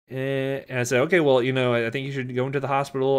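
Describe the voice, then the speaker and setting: With an American accent, a man speaks at a very fast pace in a fairly high pitch. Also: quiet background. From Florida. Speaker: pharmacology lecturer. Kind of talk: lecture. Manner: casual, many fillers and repetitions. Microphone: webcam.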